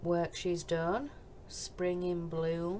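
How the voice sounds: Speaking at a very slow pace, a woman with a Yorkshire accent has a fairly low pitch.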